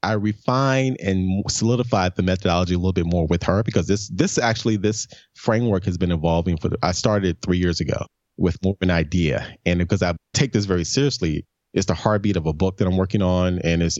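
With an American accent, a man of very deep, low pitch rattles along at a very fast pace, his loudness very even and his pitch variation ordinary. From US South, Memphis, Tennessee. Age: 50s. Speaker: brand strategist. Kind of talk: interview.

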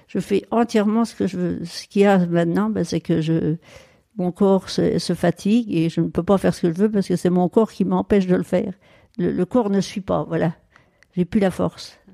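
With a dark, mellow tone and a fairly low pitch, a woman talks at a moderate pace with fairly even intonation in a dry, close sound that has no echo. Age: 80s+. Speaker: retired farmer. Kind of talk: casual chat. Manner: halting, with frequent repetitions.

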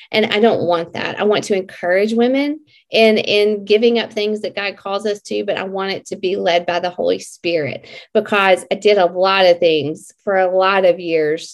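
A woman with a Southern US accent, medium pitch and ordinary pitch variation, at a moderate pace with hardly any pauses. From Mississippi. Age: 40s. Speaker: health and fitness coach. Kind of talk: casual interview.

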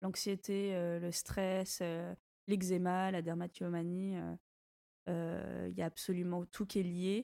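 Very slowly and with long, frequent pauses, a woman with a fairly low pitch and a dark, mellow tone speaks in a monotone, flat manner in a dry, close sound with no echo. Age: 20s. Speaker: entrepreneur. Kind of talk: casual chat.

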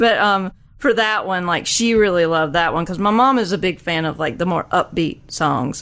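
With a Southern US accent, a woman speaks at a moderate pace and a medium pitch with lively intonation. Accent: Southern US twang. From small southern US town. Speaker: music fan, guest. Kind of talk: casual chat.

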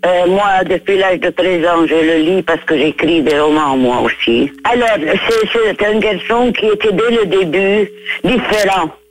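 Very slow speech from a woman of medium pitch, lively intonation and very even loudness, with noticeable background noise. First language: Arabic (speaking French). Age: 80s+. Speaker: writer. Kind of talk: interview. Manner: halting.

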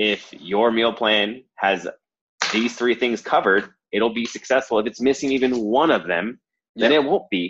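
Using a normal speaking voice, a man talks with a medium pitch, a moderate pace, and ordinary pitch variation. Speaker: podcast host, fitness coach. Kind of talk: casual podcast chat.

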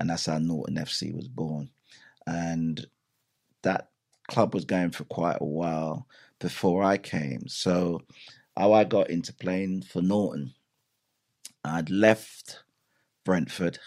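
A man with a very deep, low pitch speaks at a very slow pace, leaving long, frequent pauses. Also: ordinary pitch variation. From Jamaica. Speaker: advertising agency founder. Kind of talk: interview.

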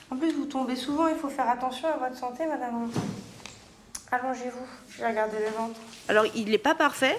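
Against noticeable background noise, a woman with a high pitch and ordinary pitch variation talks at a fairly quick pace, broken by long, frequent pauses. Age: 20s. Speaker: emergency medicine resident. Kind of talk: documentary interview and patient consultations.

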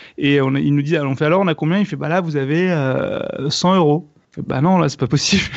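Pace-wise, this man is very fast. His fairly high pitch has ordinary variation. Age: 30s. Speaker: comedian and online video creator. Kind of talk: casual chat.

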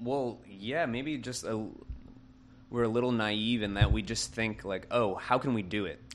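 A man with an unremarkable speaking voice, medium in pitch, at a fairly slow pace with ordinary pitch variation. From US South, Kenner, Louisiana (Greater New Orleans). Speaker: architect and studio co-founder. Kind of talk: casual interview.

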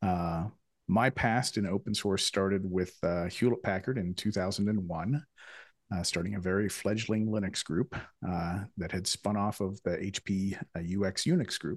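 A man speaks in a plain, everyday voice with fairly low pitch and fairly even intonation. His pace is moderate against a quiet background. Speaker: podcast host. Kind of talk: casual conversational interview.

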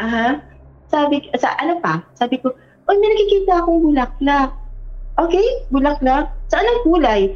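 Over noticeable background noise, a woman talks at a high pitch with very wide pitch swings, very even loudness and a moderate pace. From Philippines, provinces. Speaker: guest storyteller. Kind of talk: personal storytelling.

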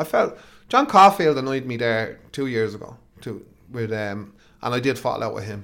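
The speaker is a man. He has an Irish accent. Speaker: football manager. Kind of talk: interview.

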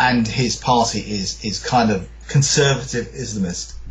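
A man talks at a fairly slow pace, with room echo audible. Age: 50s. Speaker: author. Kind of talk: interview. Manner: halting.

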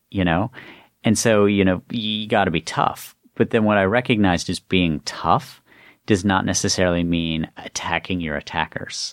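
A speaker with an American accent talks at a moderate pace with ordinary pitch variation. The recording is very clean with a silent background, and the sound is dry and close with no echo. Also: man, very deep, low pitch for a man. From US, West Virginia. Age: 40s. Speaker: author and former government official. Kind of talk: interview conversation.

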